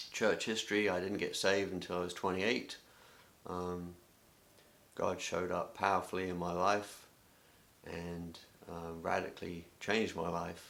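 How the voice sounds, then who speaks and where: With an English accent, a man speaks in a very deep, low pitch and a monotone, flat intonation at a moderate pace, with long, frequent pauses and audible room echo. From England. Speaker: youth ministry director. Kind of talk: self-introduction video. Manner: hesitant, many filler words.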